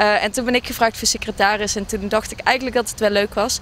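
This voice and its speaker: With light background noise, a woman speaks at a fairly high pitch in a monotone, flat intonation. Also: dry sound with no echo. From Brabant, Netherlands. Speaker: student association board member. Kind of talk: interview. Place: waterside. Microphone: handheld.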